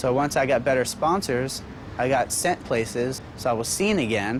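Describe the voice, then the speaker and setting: A man with an American accent speaks at a medium pitch. Noticeable background noise sits behind him. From US East Coast, Baltimore. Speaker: professional skateboarder. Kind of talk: interview. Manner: halting, many fillers.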